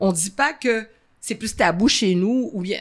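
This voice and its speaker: Recorded very cleanly against a silent background, a woman speaks at a moderate pace. Her tone is animated. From Montreal, Saint-Michel (Quebec), Haitian heritage. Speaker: event founder and former comedian. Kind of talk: interview conversation. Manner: animated, laughing.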